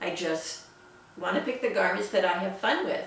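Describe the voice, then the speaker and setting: A woman talks at a moderate pace. Her voice comes through noticeable background noise and audible room echo. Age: 60s. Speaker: sewing vlogger. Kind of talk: casual chat. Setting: home sewing studio.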